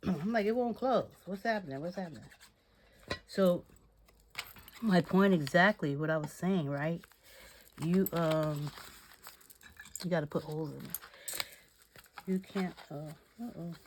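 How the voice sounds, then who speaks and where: A woman with a fairly low voice speaks fairly slowly, with ordinary pitch variation and long, frequent pauses. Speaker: crafting channel host. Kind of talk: craft tutorial. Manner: casual, talking to herself; quieter than usual.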